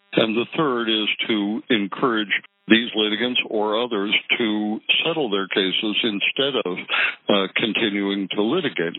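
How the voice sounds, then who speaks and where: With a fairly low pitch and ordinary pitch variation, this man has an unremarkable speaking voice. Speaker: judge. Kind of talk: interview answering questions about law. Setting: phone call.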